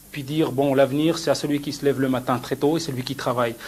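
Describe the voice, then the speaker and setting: Speaking at a very fast pace, a man delivers his words in a monotone, flat intonation with a somewhat breathy voice. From France (Besançon), Moroccan family. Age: 30s. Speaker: fashion designer. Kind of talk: interview.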